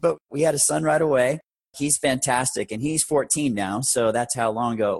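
A man's plain, everyday voice, fairly quick in pace with ordinary pitch variation and a dry, close sound with no echo. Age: 40s. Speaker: air ambulance company founder, former paramedic. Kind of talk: interview, personal business story.

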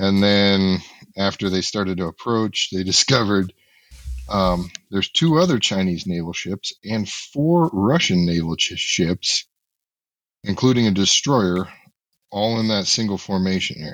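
The man has an unremarkable speaking voice, fairly low in pitch with ordinary pitch variation, and talks at a fairly slow pace. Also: very clean recording, silent background. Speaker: guest co-host, military veteran. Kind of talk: casual chat. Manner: jokey.

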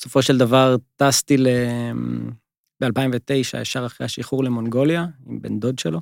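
In a plain, everyday voice, a man speaks at a medium pitch and moderate pace with fairly even intonation. The recording is very clean with a silent background, and the sound is dry and close with no echo. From northern Israel, Givat Ela. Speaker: travel company co-founder. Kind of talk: interview conversation.

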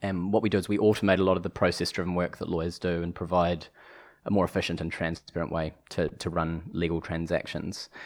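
A man with a New Zealand accent talks at a very fast pace. His voice is very deep and low, delivered in a flat monotone. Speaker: legal tech executive, former lawyer. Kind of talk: casual interview.

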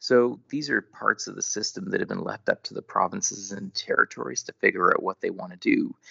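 A man at a fairly quick pace, hardly any pauses, and big swings in loudness. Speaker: geriatrics physician and policy expert. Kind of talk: interview answers.

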